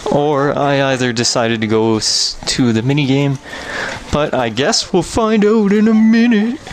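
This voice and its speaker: A moderate pace over noticeable background noise. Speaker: let's play gamer. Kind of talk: voice-over gameplay commentary. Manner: casual, rambling with self-corrections.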